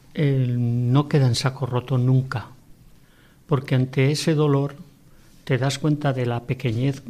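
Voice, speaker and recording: A man with a dark, mellow tone speaks at a very slow pace with fairly even intonation. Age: 60s. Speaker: widower. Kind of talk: testimony.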